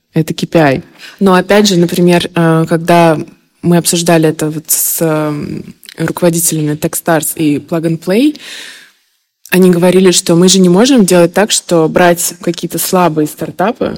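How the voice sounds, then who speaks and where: A woman with an ordinary speaking voice, fairly low in pitch, at a moderate pace with fairly even intonation. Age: 30s. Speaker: fundraiser and startup founder. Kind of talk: interview.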